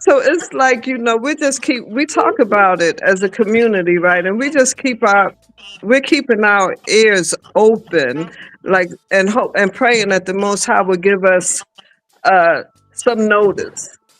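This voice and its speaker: A man with a high voice speaks at a fairly slow pace with music in the background. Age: 60s. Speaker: expat living in Africa. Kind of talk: casual chat.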